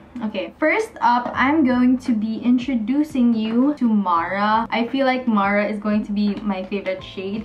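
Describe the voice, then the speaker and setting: At a moderate pace and with hardly any pauses, a woman talks over light background noise. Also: ordinary pitch variation. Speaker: beauty vlogger. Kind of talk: casual vlog chat. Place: home room.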